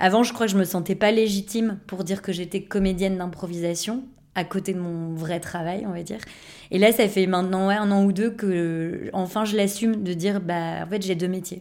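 A woman with an ordinary speaking voice talks at medium pitch and a moderate pace, her intonation fairly even. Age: 30s. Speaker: improv actor. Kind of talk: casual interview.

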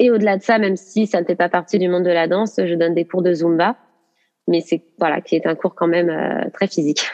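A woman has a plain, everyday voice with a fairly low pitch. Her intonation is fairly even, and the sound is dry and close with no echo. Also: very even loudness. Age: 30s. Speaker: dance teacher. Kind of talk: interview.

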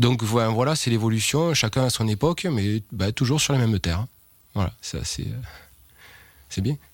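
At a fairly slow pace, a man speaks with a medium pitch. He takes long, frequent pauses. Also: ordinary pitch variation. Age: 40s. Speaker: winegrower. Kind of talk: interview testimony. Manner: hesitant, many fillers.

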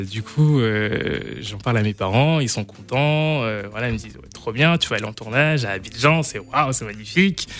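Over background music, a man speaks at a moderate pace with a medium pitch, lively intonation and big swings in loudness. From Brittany, France. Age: 20s. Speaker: actor. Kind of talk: radio interview. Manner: halting.

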